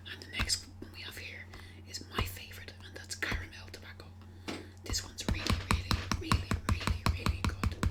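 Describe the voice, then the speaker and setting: Someone whispers at a moderate pace with music in the background. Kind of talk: ASMR shop role-play, customer service talk.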